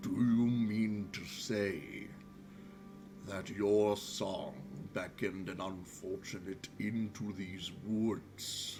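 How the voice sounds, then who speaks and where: Over clear background noise, a man in a put-on character voice speaks very slowly at a fairly low pitch. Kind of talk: fantasy game master character voice. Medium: actual play. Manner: slow, formal, archaic speech.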